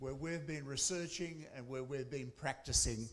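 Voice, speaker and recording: A man's fairly high-pitched voice with an Australian accent. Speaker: academic researcher. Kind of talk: conference presentation.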